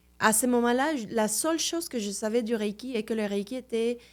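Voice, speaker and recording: A woman with a Mexican accent speaks with ordinary pitch variation. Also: very clean recording, silent background. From Mexico City, Mexico. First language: Spanish (speaking French). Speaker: Reiki master. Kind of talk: podcast interview.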